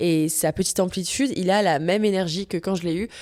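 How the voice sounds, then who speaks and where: Speaking at a fairly quick pace, a woman uses a medium pitch with ordinary variation, on a very clean recording with a silent background. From France, Paris. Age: 20s. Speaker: podcast host, equestrian rider. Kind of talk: casual monologue podcast. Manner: casual, with many fillers (euh).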